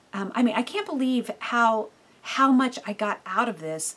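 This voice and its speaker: Amid noticeable background noise, a woman talks at a moderate pace with fairly even intonation. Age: 50s. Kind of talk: devotional teaching monologue. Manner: casual, with many fillers.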